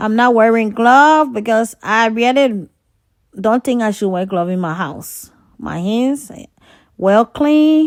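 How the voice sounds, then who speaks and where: On a very clean recording with a silent background, a woman with a fairly high pitch and lively intonation speaks at a very slow pace. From Liberia. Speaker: home cooking vlogger. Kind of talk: cooking tutorial. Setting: home kitchen. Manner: casual, chatty.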